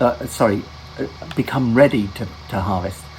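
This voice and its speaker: A man's voice amid noticeable background noise. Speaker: gaming video host. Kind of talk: gameplay commentary. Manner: halting, many fillers and restarts; whispering.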